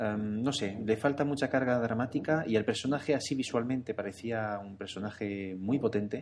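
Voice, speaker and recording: Using an ordinary speaking voice, a man talks at a moderate pace and medium pitch with ordinary pitch variation and hardly any pauses. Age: 30s. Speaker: podcast contributor. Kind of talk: casual chat.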